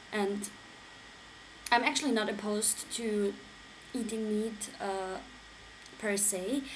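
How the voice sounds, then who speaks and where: Amid noticeable background noise, a woman with a non-native accent speaks at a medium pitch in a monotone, flat way. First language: not English. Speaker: vlogger. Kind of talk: casual talk to camera.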